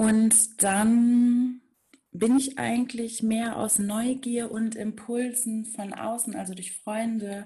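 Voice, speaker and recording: Somewhat breathy speech from a woman, dark and mellow in tone. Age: 30s. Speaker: spiritual coach. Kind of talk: interview.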